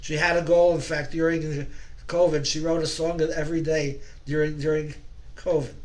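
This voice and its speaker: Over noticeable background noise and audible room echo, a man with a fairly high pitch speaks at a moderate pace in a monotone, flat intonation. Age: 80s+. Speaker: folk singer, club member. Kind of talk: casual introduction to a song. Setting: video call. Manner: halting.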